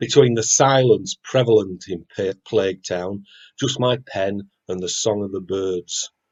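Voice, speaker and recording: This man has a Yorkshire accent and ordinary pitch variation. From West Yorkshire (Wakefield). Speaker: poet. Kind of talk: poetry reading; casual chat.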